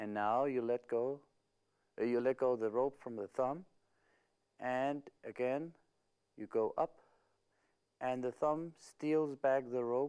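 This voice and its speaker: A man speaks at a very slow pace, with long, frequent pauses. His medium-pitched voice has a dark, mellow tone. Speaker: magician teaching a trick. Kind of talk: tutorial. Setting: studio video recording with multiple cameras. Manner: slow, deliberate with hesitations.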